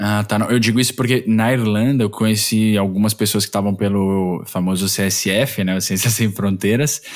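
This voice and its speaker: A man with a normal speaking voice, fairly low in pitch, at a moderate pace with hardly any pauses, very even loudness and fairly even intonation. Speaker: podcast host. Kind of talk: interview.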